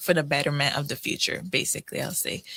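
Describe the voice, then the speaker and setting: A woman speaks with a Crucian accent in a bright, sharp tone. Her intonation stays fairly even. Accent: Crucian (US Virgin Islands) English. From US Virgin Islands, St. Croix. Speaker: college student, scholarship recipient. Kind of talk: radio interview. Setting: radio studio.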